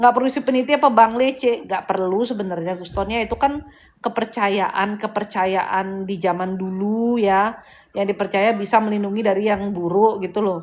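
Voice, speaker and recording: With a strong Balinese accent, a woman speaks with ordinary pitch variation. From Bali, Indonesia. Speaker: spiritual healer and live-stream host. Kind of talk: casual live-stream chat. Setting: live stream. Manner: animated.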